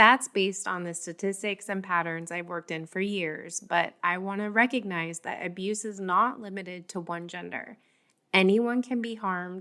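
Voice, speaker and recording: At a moderate pace, a woman speaks with medium pitch, fairly even intonation and a bright, sharp tone on a very clean recording with a silent background. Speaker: podcast host on abusive relationships. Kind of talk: reflective podcast monologue. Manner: gentle, measured.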